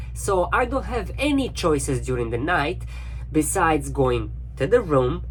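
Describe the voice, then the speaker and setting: Over noticeable background noise and audible room echo, a man with a non-native accent speaks at a moderate pace. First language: not English. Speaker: cruise ship crew member. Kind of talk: casual video diary monologue. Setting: cabin on a cruise ship.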